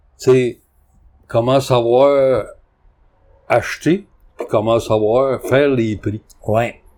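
A man's medium pitch at a very slow pace, with fairly even intonation and long, frequent pauses. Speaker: antique dealer. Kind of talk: casual chat.

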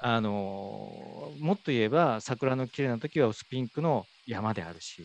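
At a fairly slow pace, a man of medium pitch speaks in a plain, everyday voice with big swings in loudness. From Fukuoka, Japan (Iizuka). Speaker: elderly care facility director. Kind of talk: conversational interview.

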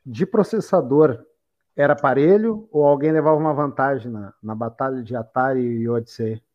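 With lively intonation, an ordinary speaking voice goes along at a moderate pace. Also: man, fairly high pitch for a man. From Porto Alegre, Brazil. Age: 30s. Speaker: podcast host. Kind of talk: casual chat.

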